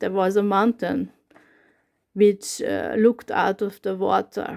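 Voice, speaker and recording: A woman with a Hungarian accent at a very slow pace, medium in pitch, with fairly even intonation, on a very clean recording with a silent background. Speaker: YouTuber. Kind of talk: casual talk to camera. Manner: halting.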